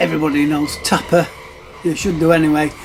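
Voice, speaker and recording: A man speaks with a northern English accent. Music plays in the background. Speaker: retro gaming YouTuber. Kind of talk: casual show-and-tell video. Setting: public venue, noisy. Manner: hesitant, many fillers.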